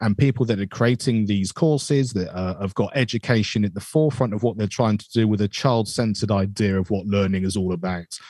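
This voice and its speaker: On a very clean recording with a silent background, a man speaks at a fairly low pitch and a fairly quick pace, with ordinary pitch variation. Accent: British. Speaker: educator and music teacher. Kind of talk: interview.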